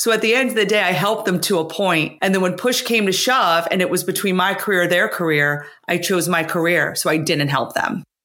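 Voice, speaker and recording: A woman in a normal speaking voice at a medium pitch, fairly quick with hardly any pauses, ordinary pitch variation and very even loudness. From US, blue-collar Italian immigrant family. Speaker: author, former finance executive. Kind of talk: interview.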